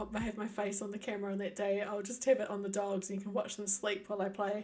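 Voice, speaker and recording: A woman with a New Zealand accent and a medium pitch talks at a very fast pace over noticeable background noise. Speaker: gaming streamer. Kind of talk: casual chat.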